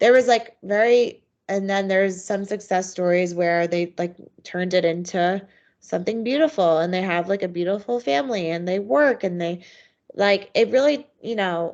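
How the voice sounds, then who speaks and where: Against a quiet background, a woman speaks with an American accent at a medium pitch. Her pace is moderate and her pitch variation ordinary. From US Northeast. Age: 30s. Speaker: abuse survivor. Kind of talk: interview. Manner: halting.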